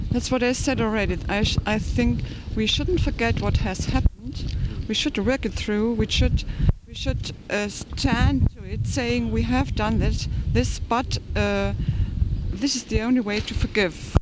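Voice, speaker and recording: Someone with a German accent speaks at a fairly slow pace over noticeable background noise. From Germany. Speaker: interviewee on the street. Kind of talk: interview. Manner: halting.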